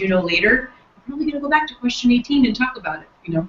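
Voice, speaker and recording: Lively in intonation, a woman speaks at a very fast pace over noticeable background noise. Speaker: software trainer. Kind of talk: workshop training session.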